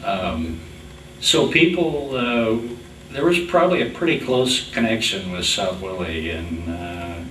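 A man's pitch swings very widely as he talks at a fairly slow pace, with audible room echo and light background noise. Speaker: oral history interviewer. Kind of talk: interview questions. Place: meeting room.

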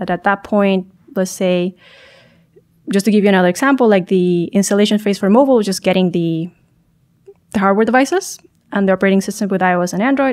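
Against a quiet background, a woman talks at a very fast pace broken by long, frequent pauses, with a medium pitch and ordinary pitch variation. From Chile. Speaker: startup founder and tech executive; podcast guest. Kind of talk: interview. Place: studio. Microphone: studio mic.

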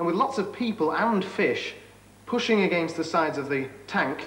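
An upbeat man with a British accent talks with lively intonation, with audible room echo and light background noise around him. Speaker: tv science presenter. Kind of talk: 1980s tv science presenter narration, demo. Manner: jokey, upbeat, conversational. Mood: light, humorous, upbeat.

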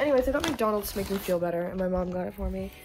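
Clear music sounds in the background. Over it, a woman speaks very fast. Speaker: vlogger. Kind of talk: casual vlog chat. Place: home room. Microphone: phone near.

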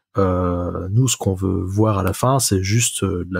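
In a very clean recording with a silent background, a man with a fairly low pitch sounds somewhat breathy, with ordinary pitch variation. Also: dry, close sound with no echo. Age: 20s. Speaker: software developer. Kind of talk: casual chat. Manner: hesitant, many fillers.

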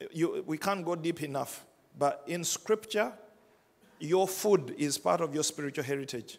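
The speaker is a man with a high pitch. His pitch variation is ordinary. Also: moderate pace. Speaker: pastor. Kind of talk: sermon. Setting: church with congregation. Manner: conversational, wrapping up with practical advice. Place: church. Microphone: handheld.

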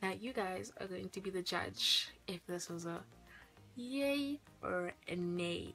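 A woman speaks while faint music plays behind her. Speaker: youtuber. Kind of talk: casual vlog chat. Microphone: phone near.

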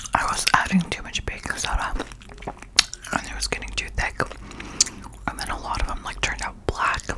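Soft-spoken and at a fairly quick pace, a woman talks over loud background noise. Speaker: content creator. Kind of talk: casual vlog chat. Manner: soft close-mic ASMR voice. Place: home room. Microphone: studio mic.

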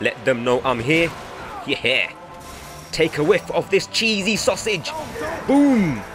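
Music plays in the background as a man with a high pitch speaks at a very slow pace, using very wide pitch swings and long, frequent pauses. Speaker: gaming YouTuber. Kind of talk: casual gameplay commentary. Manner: playful, excitable.

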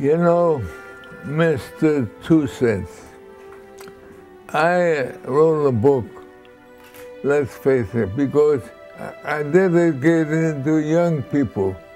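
Faint music plays in the background as a man speaks at a very slow pace. His fairly high voice comes with long, frequent pauses. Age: 80s+. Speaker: actor. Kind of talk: interview answer. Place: home room.

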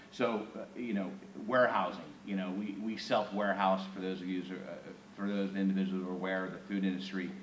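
Very fast and monotone, a man speaks in a very deep, low pitch, with audible room echo and light background noise. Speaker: company executive. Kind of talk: interview. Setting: stage with audience. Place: hall. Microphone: camera far.

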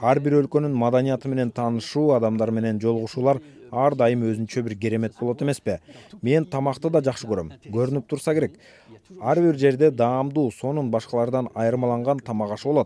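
A man speaks very fast in a dark, mellow tone. His intonation stays fairly even, and the sound is dry with no echo. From France. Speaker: ambassador; interviewee. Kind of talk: interview. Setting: studio. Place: studio.

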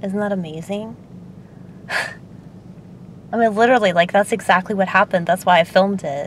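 A woman speaks with fairly even intonation at a moderate pace, the sound dry with no echo and light background noise. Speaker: vlogger. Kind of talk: casual vlog chat. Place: car. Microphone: phone near.

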